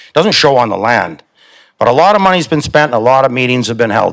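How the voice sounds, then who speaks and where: The recording is very clean with a silent background, carrying a man's medium-pitched voice. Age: 60s. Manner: impassioned.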